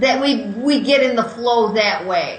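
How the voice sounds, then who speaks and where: A woman speaks loudly at a high pitch and a fairly slow pace. Audible room echo and noticeable background noise surround her voice. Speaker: courage coach and author. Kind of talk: interview.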